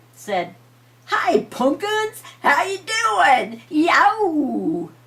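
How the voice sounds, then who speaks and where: A woman is heard over noticeable background noise. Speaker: grandmother storyteller. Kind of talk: bedtime story telling.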